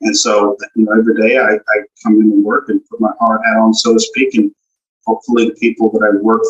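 Dry, close sound with no echo, a fairly quick pace, and music in the background. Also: man. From Texas, Galveston. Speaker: commercial banker. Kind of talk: interview.

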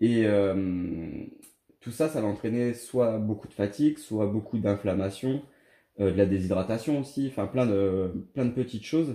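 Heard on a very clean recording with a silent background, a man with a fairly low pitch speaks with a dark, mellow tone. He goes at a fairly slow pace with ordinary pitch variation. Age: 30s. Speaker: former triathlete. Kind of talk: interview. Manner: halting.

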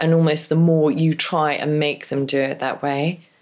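In a very clean recording with a silent background, a woman with an English accent speaks in a very deep, low pitch. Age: 50s. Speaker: divorce coach. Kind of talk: interview.

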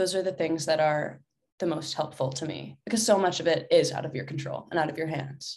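Using a very deep, low pitch, a woman with an American accent speaks somewhat breathily at a fairly quick pace, with ordinary pitch variation. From Atlanta, US South. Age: 20s. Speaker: actress. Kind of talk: casual interview.

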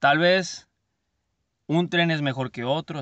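A man's fairly slow, fairly even-toned voice against a quiet background. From Mexico, Culiacán, Sinaloa. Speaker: podcast host, entrepreneur. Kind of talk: motivational monologue. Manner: halting, with repeated words.

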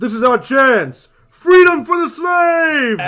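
Shouting at a fairly slow pace, a man uses a put-on character voice at an extremely high pitch. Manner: rousing, defiant.

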